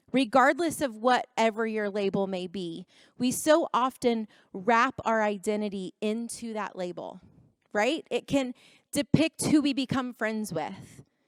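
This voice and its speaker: In an ordinary speaking voice, a woman talks at a fairly slow pace and fairly high pitch with lively intonation, on a very clean recording with a silent background and a dry, close sound with no echo. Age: 30s. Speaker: youth conference speaker. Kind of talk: motivational talk.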